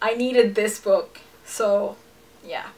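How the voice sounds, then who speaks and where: A woman's fairly slow delivery, with noticeable background noise behind it. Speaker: book vlogger. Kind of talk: casual monologue.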